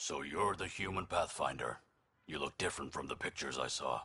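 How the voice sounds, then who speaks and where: A man puts on a raspy character voice with very deep, low pitch. He speaks at a fairly quick pace. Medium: video game. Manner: dry, sardonic.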